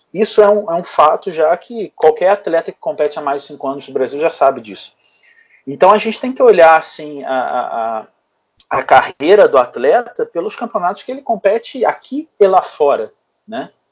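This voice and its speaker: A man speaks in a high pitch at a moderate pace. His pitch swings very widely and his loudness shifts a lot. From Brazil, Rio de Janeiro. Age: 30s. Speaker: bodybuilding coach. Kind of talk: casual chat.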